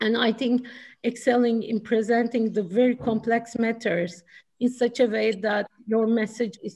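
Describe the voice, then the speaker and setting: Here a woman talks in a Turkish accent with a fairly high pitch. Her tone is dark and mellow, and her intonation fairly even. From Turkey. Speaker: chief risk officer. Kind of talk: panel discussion.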